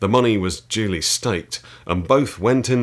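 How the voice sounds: The pitch moves in an ordinary way. It belongs to a natural reading voice.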